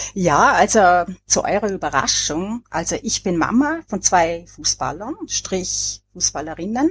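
A woman speaks with an Austrian accent at a fairly slow pace. The sound is dry and close with no echo. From Austria, Vorarlberg. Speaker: author, depression survivor. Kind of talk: podcast discussion.

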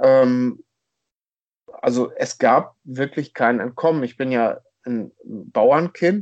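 The pace is very slow. A man speaks at a medium pitch. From northern Germany, rural Schleswig-Holstein near Hamburg. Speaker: football fan, podcast guest. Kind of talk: casual chat. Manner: hesitant, many fillers.

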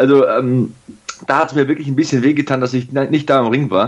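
A man talking at a fairly quick pace. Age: 30s. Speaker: wrestling TV commentator. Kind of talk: casual chat.

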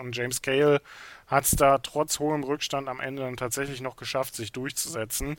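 A man's normal speaking voice at medium pitch and moderate pace, on a very clean recording with a silent background. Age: 30s. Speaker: snooker podcast co-host. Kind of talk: casual sports discussion.

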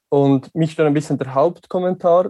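Recorded dry and close with no echo, a man with a fairly high pitch and a dark, mellow tone talks at a fairly slow pace with fairly even intonation. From Switzerland. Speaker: listener. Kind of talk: casual chat. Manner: halting.

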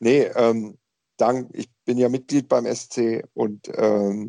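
A man speaks in a medium-pitched voice with a dark, mellow tone and fairly even intonation. The sound is dry and close with no echo, against a quiet background. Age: young. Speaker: football podcast panelist, referee expert. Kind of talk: casual chat.

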